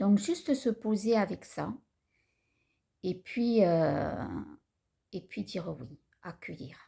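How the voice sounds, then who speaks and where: A woman speaks at a very slow pace with vocal fry. Her medium pitch swings very widely. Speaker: spiritual vlogger. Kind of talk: personal vlog talk. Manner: halting; calm.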